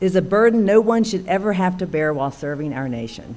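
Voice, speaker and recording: A woman with an Alabama accent speaks at a moderate pace in a dark, mellow tone. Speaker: military officer. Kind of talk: formal speech. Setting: town council meeting. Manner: formal.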